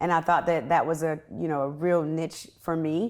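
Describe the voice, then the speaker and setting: The fairly low-pitched voice of a woman shows ordinary pitch variation in a very clean recording with a silent background. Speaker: media personality and actress; podcast host. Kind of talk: interview.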